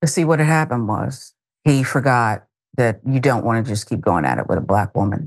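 Against a quiet background, a woman with a very deep, low pitch speaks in an animated, amused tone with lively intonation. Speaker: news show host. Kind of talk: commentary on video clips. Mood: wry, emphatic. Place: studio. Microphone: lapel.

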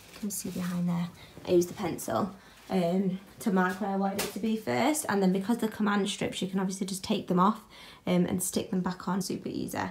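A woman speaks at a fairly quick pace with fairly even intonation, a slightly mellow tone and medium pitch.

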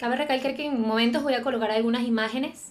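Speaking in a Venezuelan accent, a woman uses a high pitch and lively intonation. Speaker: YouTuber. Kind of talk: film review monologue. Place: home room. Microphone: studio mic.

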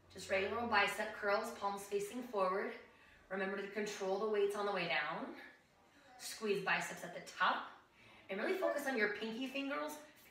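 At a fairly quick pace, a woman talks with ordinary pitch variation amid audible room echo. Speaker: fitness instructor. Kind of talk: tutorial. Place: home room. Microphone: camera far.

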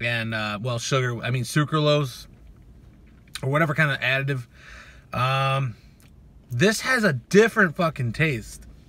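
A man talks at a moderate pace, leaving long, frequent pauses. The sound is dry, with no echo. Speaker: fitness YouTuber reviewing supplements. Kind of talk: casual product review video. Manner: profane, laid-back and joking. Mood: laid-back, profane. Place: car. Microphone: phone near.

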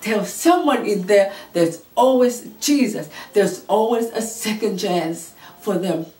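A woman speaks at a fairly slow pace with audible room echo in the recording. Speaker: preacher. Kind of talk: sermon.

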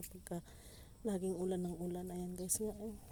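This woman has a medium-pitched voice with a dark, mellow tone. Her intonation stays fairly even. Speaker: farmer vlogger. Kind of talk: casual vlog narration. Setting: outdoors on a farm.

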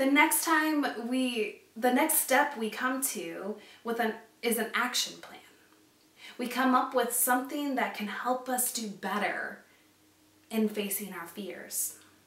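At a slow pace, a woman with a fairly high pitch and a fairly bright tone talks amid strong room echo. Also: ordinary pitch variation.

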